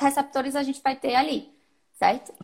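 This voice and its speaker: A woman speaks at a high pitch. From Brazil, Salvador (Bahia). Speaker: nutritionist and triathlete. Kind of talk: casual interview on sports nutrition. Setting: live stream.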